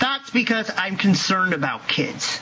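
A man speaks in an angry tone at a moderate pace. Noticeable background noise is present. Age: 20s. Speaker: YouTube vlogger. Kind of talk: angry rant to camera. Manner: angry, loud.

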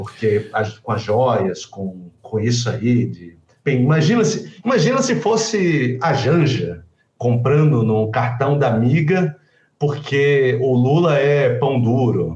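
In a room with audible echo, a man speaks very slowly, somewhat breathy, with lively intonation. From João Pessoa, Brazil. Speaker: guest commentator. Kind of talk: casual political commentary. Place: home room. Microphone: webcam.

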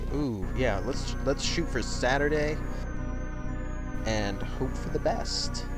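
Clear music plays in the background as the voice moves at a very slow pace in a dry sound with no echo. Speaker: let's play gamer. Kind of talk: casual game commentary. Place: home room.

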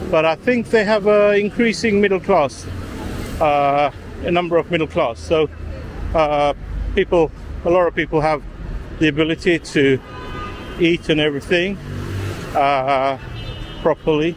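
Light background noise sits under a dry sound with no echo as a man speaks with ordinary pitch variation and long, frequent pauses. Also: moderate pace, very even loudness. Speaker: travel vlogger. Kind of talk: casual vlog chat. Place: street. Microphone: phone near.

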